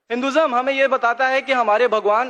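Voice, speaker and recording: Speaking with fairly even intonation, a man uses an extremely high pitch. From eastern Uttar Pradesh, India. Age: 20s. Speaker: audience member sharing his story. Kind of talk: public testimony.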